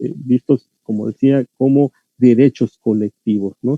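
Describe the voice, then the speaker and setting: A man with a Yucatán accent talks at a very slow pace. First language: Yucatec Maya (speaking Spanish). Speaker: linguistics scholar lecturing on language rights. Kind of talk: lecture. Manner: hesitant, many fillers and repetitions.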